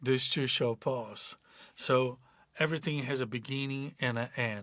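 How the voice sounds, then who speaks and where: Over a silent background in a very clean recording, a man with a Portuguese accent speaks at a fairly slow pace. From Brazil. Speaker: life coach. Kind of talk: motivational talk. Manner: halting.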